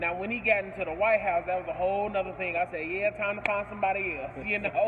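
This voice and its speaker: A man speaks loudly at a very fast pace and a high pitch. His intonation is monotone and flat, with noticeable background noise behind him. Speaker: business owner. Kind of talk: interview. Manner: loud, boisterous.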